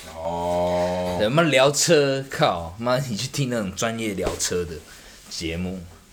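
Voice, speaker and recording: A man's fairly low voice in a Taiwanese accent, very slow in pace and lively in intonation, with audible room echo. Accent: Taiwanese Mandarin. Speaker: podcast co-host. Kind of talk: casual chat.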